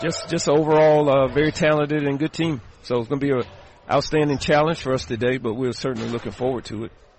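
A man talks at a very fast pace with fairly even intonation. His pitch is fairly high, and there is noticeable background noise. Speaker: basketball head coach. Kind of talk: pregame interview. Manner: halting, many filler ums and uhs.

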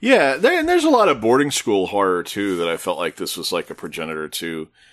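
A man is speaking. The background is quiet. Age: 40s. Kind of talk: casual chat.

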